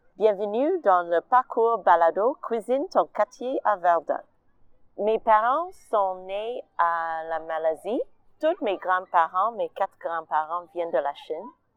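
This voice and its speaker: Speaking very slowly at a medium pitch, a woman talks with an English accent. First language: English (speaking French). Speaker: artist and stage director. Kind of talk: personal testimony.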